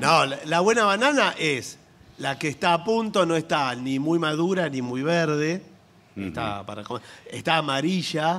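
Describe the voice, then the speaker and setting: With lively intonation and fairly high pitch, a man talks in a plain, everyday voice. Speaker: comedian co-host. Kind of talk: live comedy radio show with sketches. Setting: theater stage with audience.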